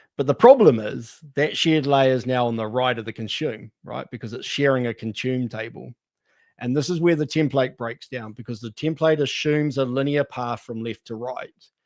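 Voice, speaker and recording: In a New Zealand accent, a man speaks at medium pitch and a moderate pace with fairly even intonation, in a dry, close sound with no echo and a very clean recording with a silent background. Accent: New Zealand (Kiwi). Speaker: data architecture consultant. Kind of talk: panel discussion.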